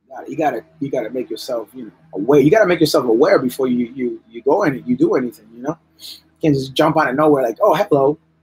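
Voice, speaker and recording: Music plays in the background while a man speaks very fast. His fairly high pitch shows ordinary variation. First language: bilingual English and Spanish, English stronger. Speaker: artist livestreaming while drawing. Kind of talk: casual livestream chat. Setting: live stream. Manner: repetitive, halting restarts.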